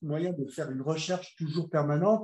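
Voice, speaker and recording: A man speaks at a moderate pace with a high pitch. His tone is dark and mellow. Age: 60s. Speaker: bodybuilder. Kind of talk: casual chat. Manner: halting.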